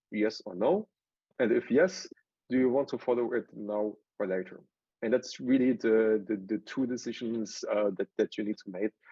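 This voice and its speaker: Speaking with a German accent, a man with a medium-pitched voice talks at a moderate pace with ordinary pitch variation. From southwestern Germany. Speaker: tech entrepreneur and consultant. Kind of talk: presentation. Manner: halting, many fillers.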